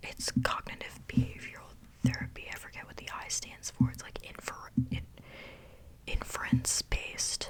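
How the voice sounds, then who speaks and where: A woman whispers at a fairly slow pace, with long, frequent pauses and big swings in loudness. Noticeable background noise sits behind her. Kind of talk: ASMR whisper ramble. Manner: whispered; casual, rambling.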